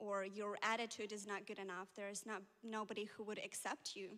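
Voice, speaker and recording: A woman's bright, sharp tone at a fairly high pitch and a moderate pace. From Ukraine. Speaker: church member. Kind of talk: testimony.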